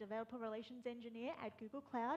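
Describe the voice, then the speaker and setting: This is a woman's voice. Her pitch is fairly high. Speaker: developer relations engineer. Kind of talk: conference talk.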